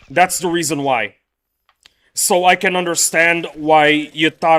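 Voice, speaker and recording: A man's bright, sharp-toned voice with an American accent at a moderate pace. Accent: sounds American. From Indonesia, raised among Americans. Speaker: gaming streamer. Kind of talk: live stream chat. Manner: animated.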